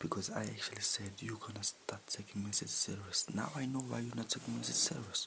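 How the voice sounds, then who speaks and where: The voice runs on with hardly any pauses over noticeable background noise. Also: fairly quick pace. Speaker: football fan youtuber. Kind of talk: match reaction vlog. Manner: repetitive, exasperated.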